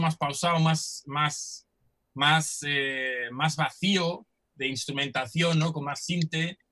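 Speaking at a very slow pace, a man with a fairly high pitch and a bright, sharp tone keeps his intonation fairly even. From Germany and Netherlands. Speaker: musician. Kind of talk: interview.

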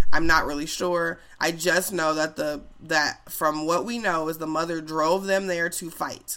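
On a very clean recording with a silent background, the words arrive fairly slowly. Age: 30s. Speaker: podcast host. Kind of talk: casual monologue. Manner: casual, filler-heavy.

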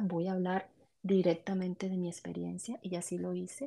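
Moving at a fairly quick pace, a woman speaks in a medium pitch with a dark, mellow tone. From Colombia. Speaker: podcast guest sharing postpartum depression experience. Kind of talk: testimony. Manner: halting.

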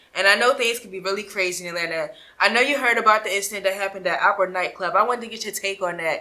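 In an American accent, a woman with a medium pitch and a bright, sharp tone talks at a very fast pace with ordinary pitch variation and big swings in loudness. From Philadelphia. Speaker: interview show host. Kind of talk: casual interview.

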